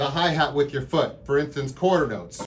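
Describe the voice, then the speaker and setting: A man speaks with ordinary pitch variation and a fairly high pitch. His voice is somewhat breathy. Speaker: drum teacher. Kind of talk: tutorial. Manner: casual, enthusiastic.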